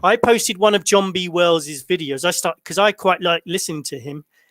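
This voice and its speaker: A man with a high voice and a British accent speaks fairly quickly with ordinary pitch variation, recorded with a dry, close sound and no echo. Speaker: online channel host.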